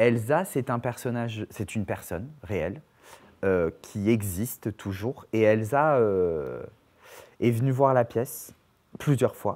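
The speech is very slow, with long, frequent pauses and ordinary pitch variation. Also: man. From Perpignan, southern France. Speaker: actor, dancer and playwright. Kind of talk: casual interview chat. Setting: studio. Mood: calm, thoughtful. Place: studio. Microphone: lapel.

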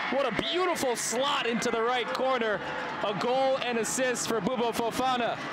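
Loud background noise fills the clip while a man talks at a moderate pace. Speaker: sports broadcaster. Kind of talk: live sports play-by-play commentary. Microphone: headset.

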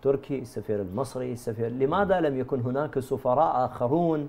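The man's voice sits at a medium pitch with ordinary pitch variation and a moderate pace. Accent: Iraqi. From Iraq. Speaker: religious scholar and research center director; guest. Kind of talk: TV panel discussion. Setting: studio. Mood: puzzled, critical. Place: studio.

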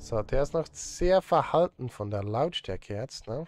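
Over faint background music, a man talks at a fairly slow pace with lively intonation and a slightly mellow tone, the sound dry and close with no echo. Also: medium pitch for a man.

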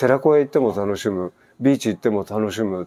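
A man speaks with lively intonation and a dark, mellow tone. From Japan. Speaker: expat vlogger. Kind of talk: casual vlog answering listener mail. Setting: outdoor gazebo at home. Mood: relaxed, reflective. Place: garden. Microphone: lapel.

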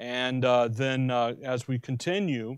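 A dry sound with no echo against a quiet background. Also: man. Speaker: Bible teacher. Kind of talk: sermon. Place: classroom. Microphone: podium.

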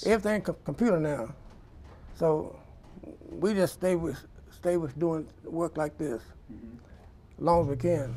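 The voice has a dark, mellow tone and ordinary pitch variation, moving at a moderate pace with long, frequent pauses. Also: man. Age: 80s+. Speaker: printing business owner. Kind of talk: interview answer. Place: workshop. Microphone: lapel.

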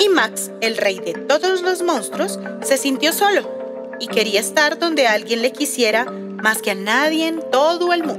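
Hardly pausing, a woman speaks over clear music in the background. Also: fairly slow pace. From Colombia. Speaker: children's storyteller; voice actor. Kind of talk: read-aloud children's story. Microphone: phone near.

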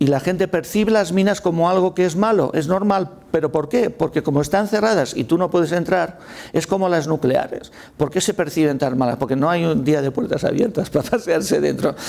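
A man's high voice at a fairly quick pace, with very even loudness and ordinary pitch variation. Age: 60s. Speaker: mining and renewables industry panelist; panelist. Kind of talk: panel discussion. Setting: hybrid event room with audience. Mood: informal, joking at times. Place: studio. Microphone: lapel.

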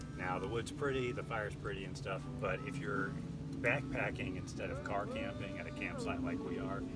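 A man at a moderate pace over loud background music. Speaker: camping vlogger. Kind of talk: casual vlog chat. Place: open country.

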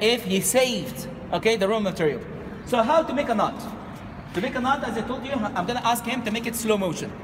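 Noticeable background noise sits behind speech that moves at a fairly quick pace. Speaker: tour guide. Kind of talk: guided tour explanation. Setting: outdoors at ancient sites.

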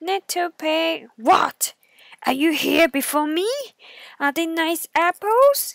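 Someone performs a put-on character voice at an extremely high pitch. The pace is very slow. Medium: read story. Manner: coaxing, sly.

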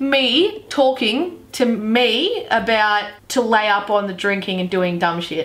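Faint music plays in the background as a woman with an Australian accent speaks at a fairly slow pace in an upbeat tone. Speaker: YouTuber. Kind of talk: casual talk to camera. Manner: upbeat, joking. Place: home room.

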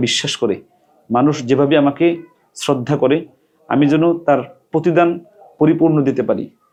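A man speaks in a normal speaking voice with a fairly high pitch and fairly even intonation. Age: 40s. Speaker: Islamic cleric and madrasa director. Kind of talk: reading a letter aloud with commentary.

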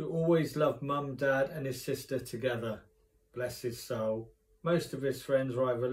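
A natural voice reads the text aloud. Its pitch moves an ordinary amount.

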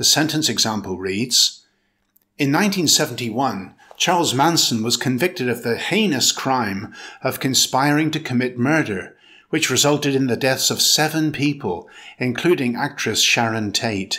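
This man's voice has a bright, sharp tone at a medium pitch. He keeps a moderate pace. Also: lively intonation. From Britain. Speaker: English teacher, pronunciation instructor. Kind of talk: English pronunciation lesson.

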